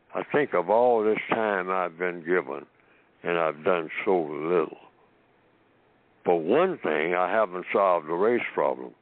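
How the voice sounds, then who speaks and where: A man talks fairly slowly in a very deep, low voice with ordinary pitch variation. He leaves long, frequent pauses. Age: 90s. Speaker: author and lecturer. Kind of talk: call-in talk show. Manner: halting.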